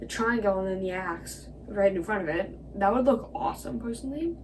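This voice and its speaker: A moderate pace, with audible room echo and noticeable background noise. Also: woman. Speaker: video creator. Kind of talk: casual commentary. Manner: hesitant, many fillers.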